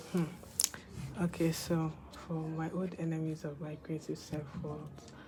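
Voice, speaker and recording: Speech moves at a fairly slow pace with long, frequent pauses. Noticeable background noise is present. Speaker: medical student and artist vlogger. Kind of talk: casual vlog. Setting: home room with roommate present. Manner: hesitant, filler-heavy.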